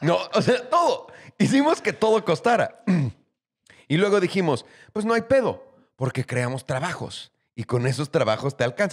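A man with a Mexican accent speaks in a high pitch with very wide pitch swings, leaving long, frequent pauses against a quiet background. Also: moderate pace. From Mexico. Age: 30s. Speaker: podcast host. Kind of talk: casual chat. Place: studio. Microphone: studio mic.

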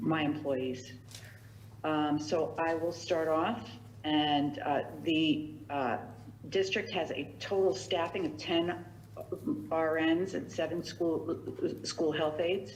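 A woman's very deep, low voice at a very slow pace, with long, frequent pauses, ordinary pitch variation, audible room echo and noticeable background noise. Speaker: director of a visiting nurse agency. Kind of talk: public meeting budget report. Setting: town council meeting. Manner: halting, many fillers and repetitions.

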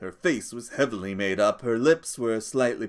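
Here someone is reading aloud in a natural voice. Pitch varies in an ordinary way.

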